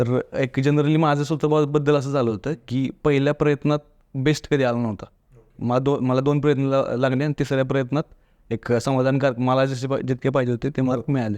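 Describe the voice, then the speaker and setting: His pitch is medium. The man's delivery stays monotone and flat. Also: dry, close sound with no echo. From Satara district, Maharashtra, India. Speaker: civil service exam topper. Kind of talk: interview.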